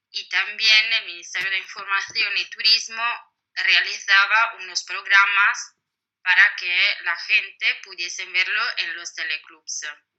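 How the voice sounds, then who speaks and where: A woman with an Italian accent, medium in pitch, monotone and flat, speaking at a very slow pace with big swings in loudness. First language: Italian (speaking Spanish). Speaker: historian, book author. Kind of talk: interview. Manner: hesitant, many fillers.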